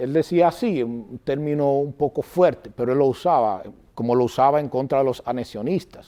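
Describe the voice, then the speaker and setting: A normal speaking voice from a man, fairly high in pitch, at a moderate pace with ordinary pitch variation. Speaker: political candidate and school director. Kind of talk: interview.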